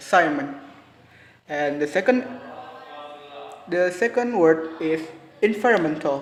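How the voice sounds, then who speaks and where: Lively intonation in an Indonesian accent, a fairly slow pace, long, frequent pauses and noticeable background noise. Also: man, fairly high pitch for a man. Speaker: university student. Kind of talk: class presentation. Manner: halting.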